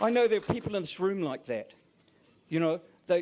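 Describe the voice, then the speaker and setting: Lively in intonation, a man speaks in a high voice with a New Zealand accent. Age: 60s. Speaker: professor and teacher. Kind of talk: conference keynote speech.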